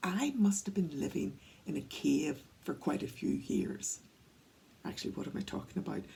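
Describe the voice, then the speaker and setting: A woman speaks at a moderate pace with a Northern Irish accent. She leaves long, frequent pauses. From Northern Ireland, County Antrim. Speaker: workplace wellbeing speaker. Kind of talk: talk to camera, storytelling. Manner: conversational.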